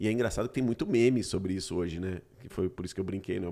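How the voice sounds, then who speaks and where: A man's fairly low voice with a dark, mellow tone and lively intonation, in a very clean recording over a silent background. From Brazil. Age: 40s. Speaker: podcast host. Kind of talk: casual chat.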